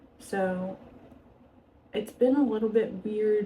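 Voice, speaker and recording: A woman speaks over noticeable background noise. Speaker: vlogger, art teacher. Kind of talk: casual chat. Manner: rambling, natural conversational; hesitant, frequent fillers.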